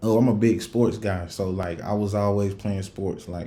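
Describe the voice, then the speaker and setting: A man speaks at a moderate pace with a strong Southern US accent and a fairly low pitch. His tone is dark and mellow, and the room echo is audible. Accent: thick Southern country. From US South, Rock Hill, South Carolina. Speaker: podcast host. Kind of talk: casual chat. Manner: casual, many fillers.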